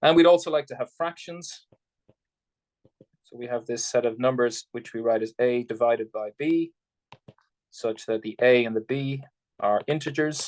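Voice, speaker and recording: Recorded with a dry, close sound and no echo, a man speaks at a medium pitch with ordinary pitch variation, big swings in loudness, and long, frequent pauses. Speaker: math lecturer. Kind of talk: lecture. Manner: fast.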